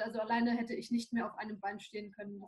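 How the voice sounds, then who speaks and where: A woman talks very fast with fairly even intonation. Her pitch is fairly high. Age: 20s. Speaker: new mother. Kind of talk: personal testimony.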